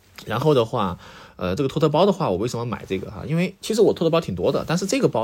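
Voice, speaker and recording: A man with a medium pitch and vocal fry talks at a very fast pace with very wide pitch swings. The recording is very clean, with a silent background. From Sichuan. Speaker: podcast host. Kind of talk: casual solo monologue. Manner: hesitant, many filler sounds.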